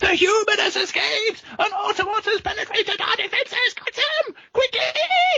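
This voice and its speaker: In a put-on character voice pitched extremely high, the speaker goes at a moderate pace with hardly any pauses. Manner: alarmed, menacing, commanding.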